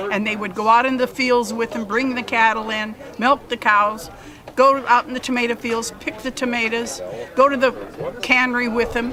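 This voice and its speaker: A woman's fairly high voice in an American accent, at a moderate pace with fairly even intonation, over noticeable background noise. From Pinole, California (San Francisco Bay Area). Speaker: long-time resident. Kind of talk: oral history interview.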